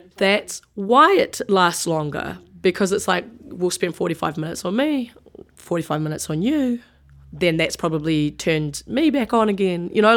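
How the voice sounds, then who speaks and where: The speaker talks at a moderate pace with lively intonation over a very clean recording and a silent background. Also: woman, medium pitch for a woman. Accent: New Zealand. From New Zealand, Wellington. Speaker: sports writer and rugby player. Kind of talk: interview.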